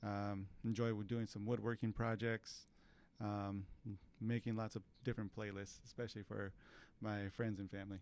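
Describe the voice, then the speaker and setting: A man with a fairly low pitch talks in a monotone, flat voice, broken by long, frequent pauses. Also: moderate pace. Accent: Californian. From California Central Valley, Tulare. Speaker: mechanical engineer. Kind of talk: interview. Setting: studio.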